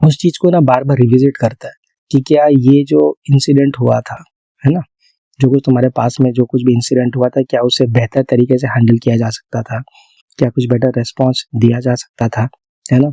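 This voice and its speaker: A man's medium-pitched voice, dark and mellow in tone with fairly even intonation, comes through as a dry, close sound with no echo. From India. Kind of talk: ASMR sleep talk addressed to a girl, soothing personal-attention roleplay. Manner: soft, calm, reassuring, slow.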